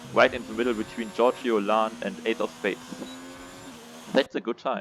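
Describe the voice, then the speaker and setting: A man speaks at a moderate pace in a non-native accent, his pitch medium with ordinary variation. Noticeable background noise sits behind him. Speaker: sim racing league commentator. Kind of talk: live commentary. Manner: halting, many fillers. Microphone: poor audio quality.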